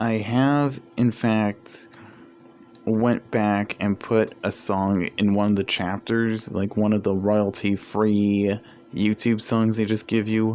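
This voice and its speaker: Here a man speaks with a fairly low pitch. His intonation is monotone and flat. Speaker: fiction writer and video creator. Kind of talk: casual vlog monologue while gaming. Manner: rambling, filler-heavy.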